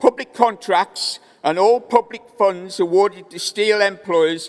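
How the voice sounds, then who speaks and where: Fairly slow speech from a high-pitched man with a Welsh accent, ordinary pitch variation, and noticeable background noise. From Wales. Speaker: trade union delegate. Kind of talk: conference speech.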